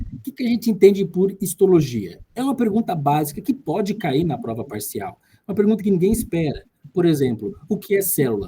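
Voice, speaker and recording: A man's high-pitched, dark and mellow voice at a fairly quick pace, with very wide pitch swings. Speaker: tutor. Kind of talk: lecture.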